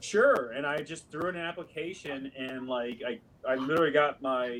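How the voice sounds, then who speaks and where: Noticeable background noise sits behind a man with a West Coast US accent. He talks at a moderate pace with a fairly high pitch and ordinary pitch variation. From US Pacific Northwest, Seattle. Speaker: actor. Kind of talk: podcast interview.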